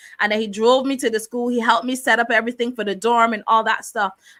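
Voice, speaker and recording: A bright, sharp, fairly high-pitched woman's voice in a Barbadian accent, with a dry, close sound and no echo. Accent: Barbadian (Bajan). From Barbados. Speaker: talk show host. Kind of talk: personal testimony. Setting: live stream, camera off.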